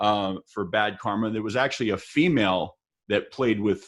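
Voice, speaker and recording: With an American accent, a man speaks at a moderate pace in a fairly low pitch, with ordinary pitch variation over a quiet background. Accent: Texas accent, noticed by others outside Texas. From El Paso, Texas. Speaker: musician and livestream interview host. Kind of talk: casual interview chat. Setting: livestream.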